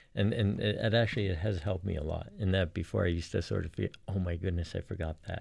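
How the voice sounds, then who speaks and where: Somewhat breathy and very deep in pitch, this man talks at a very fast pace with ordinary pitch variation and hardly any pauses. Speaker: chiropractor. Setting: studio. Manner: calm, soft-spoken.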